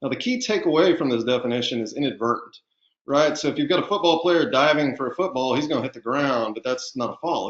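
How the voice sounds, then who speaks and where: Speech comes at a very fast pace with a slight Southern US accent and ordinary pitch variation. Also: man. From Texas. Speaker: physician and underwriting medical specialist. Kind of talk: webinar lecture. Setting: online webinar. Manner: casual, with filler words.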